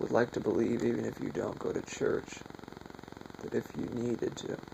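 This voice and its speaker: Noticeable background noise is audible throughout. A man speaks through it at a moderate pace. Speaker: conspiracy video maker. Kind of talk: unscripted monologue.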